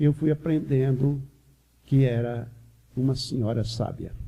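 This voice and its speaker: A man with a medium pitch and a dark, mellow tone sounds somewhat breathy as he speaks at a fairly slow pace. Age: 60s. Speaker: spiritist lecturer. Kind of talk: religious lecture.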